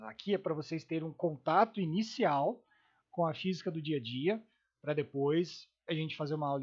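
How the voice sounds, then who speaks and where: Fairly high in pitch, this man has a normal speaking voice with ordinary pitch variation and a moderate pace. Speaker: physics teacher. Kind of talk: lecture.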